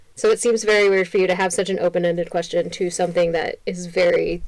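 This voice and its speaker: Noticeable background noise sits under a woman speaking at a fairly quick pace. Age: 30s. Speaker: podcast co-host and nurse. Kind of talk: casual chat.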